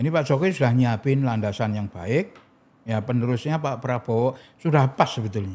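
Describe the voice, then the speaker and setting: A man talks fairly quickly in a plain, everyday voice, his medium pitch showing ordinary variation. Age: 60s. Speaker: political figure and foundation founder. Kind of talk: podcast interview.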